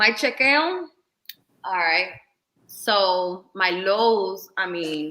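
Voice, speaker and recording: A very slow delivery with a New York accent, broken by long, frequent pauses. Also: woman, medium pitch for a woman, lively intonation. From New York City. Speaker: visual artist and content creator. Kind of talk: casual chat.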